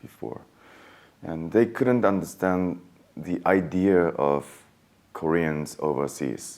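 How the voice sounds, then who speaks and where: In a Japanese accent, a man with a very deep, low pitch and lively intonation speaks at a very slow pace, leaving long, frequent pauses. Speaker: actor. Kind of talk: interview.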